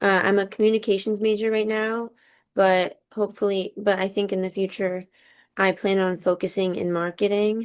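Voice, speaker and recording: A woman with a Californian accent and monotone, flat intonation, over a quiet background. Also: medium pitch for a woman, moderate pace. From Southern California. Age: 20s. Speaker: college student. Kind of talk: class assignment discussion.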